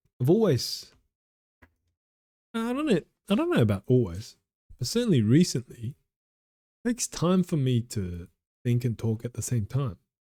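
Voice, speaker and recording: Somewhat breathy and dark, mellow in tone, a man speaks at medium pitch with very wide pitch swings and long, frequent pauses, the sound dry and close with no echo. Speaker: speaking practice vlogger. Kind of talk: impromptu speaking practice. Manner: slow; halting.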